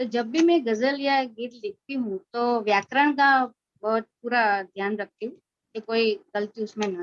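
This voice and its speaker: A woman's fairly high-pitched voice, with a dry, close sound and no echo. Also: ordinary pitch variation. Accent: Gujarati. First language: Gujarati (speaking Hindi). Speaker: writer and poet. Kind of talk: interview testimony.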